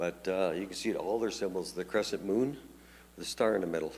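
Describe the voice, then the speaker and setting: A man speaks with ordinary pitch variation. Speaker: pastor. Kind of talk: Bible study teaching. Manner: fast; halting, many fillers and repetitions.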